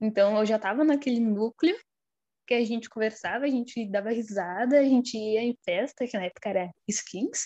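Fairly high for a woman, her pitch moves with ordinary variation at a fairly slow pace. The sound is dry and close with no echo, against a quiet background. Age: 20s. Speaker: pharmacy student. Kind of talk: casual chat.

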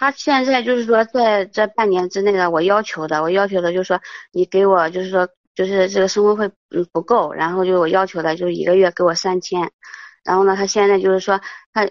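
A woman of medium pitch speaks fairly quickly, her intonation fairly even. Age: 30s. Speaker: caller seeking marriage advice. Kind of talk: call-in advice conversation. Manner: halting, many fillers.

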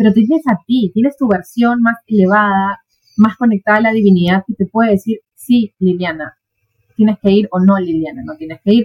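Her voice is medium-pitched and somewhat breathy, with ordinary pitch variation, as a woman speaks. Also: moderate pace. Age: 40s. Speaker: therapist. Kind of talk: casual chat.

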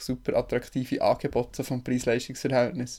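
A man with a Bernese accent, at a fairly quick pace. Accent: Bernese Swiss German dialect. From Switzerland, Bern. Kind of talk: casual chat.

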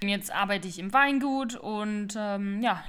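The speech moves at a fairly slow pace with fairly even intonation. Audible room echo surrounds it. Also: woman. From Palatinate, Germany. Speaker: co-host, winery worker. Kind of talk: casual chat. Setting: living room.

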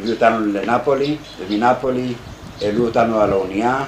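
A man at a medium pitch with fairly even intonation, amid audible room echo and noticeable background noise. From Greece, Thessaloniki. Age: 50s. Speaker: Holocaust survivor, kibbutz beekeeper. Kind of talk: testimony.

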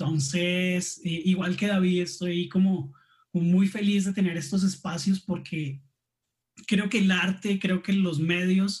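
A man with a high voice speaks very slowly, keeping his intonation fairly even. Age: 30s. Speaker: graphic designer. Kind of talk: casual chat.

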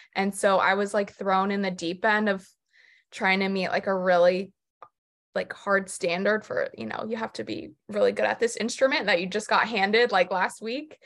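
Against a silent background in a very clean recording, a woman with an American accent and an unremarkable speaking voice talks at medium pitch and a moderate pace, with ordinary pitch variation. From South Florida. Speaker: podcast co-host. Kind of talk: casual chat. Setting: studio.

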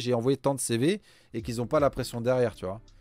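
The recording is very clean, with a silent background. A man talks in a normal speaking voice at a fairly quick pace. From France. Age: 30s. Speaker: executive recruiter and podcast co-host. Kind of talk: casual interview chat.

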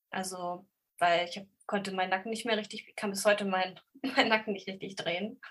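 With a normal speaking voice and fairly even intonation, the speaker moves at a fairly quick pace. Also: woman, medium pitch for a woman. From Lower Saxony, Germany (Braunschweig). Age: 30s. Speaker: bookseller with ADHD. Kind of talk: casual interview chat.

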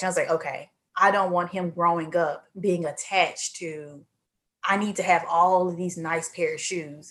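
A woman with a Southern US accent speaks at a moderate pace, her pitch fairly low and her intonation fairly even. The recording is very clean, with a silent background. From Mississippi. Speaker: accountant. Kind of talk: casual interview.

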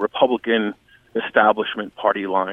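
This man has an American accent and a medium pitch. His pace is moderate. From Boston. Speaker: national security analyst, former defense official. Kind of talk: interview. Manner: halting, many fillers.

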